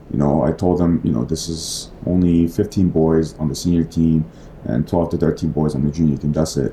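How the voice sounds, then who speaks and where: A man talks at a moderate pace in a very deep, low voice, his intonation fairly even, with noticeable background noise behind him. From South Korea. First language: Korean. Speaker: basketball coach. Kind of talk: casual interview.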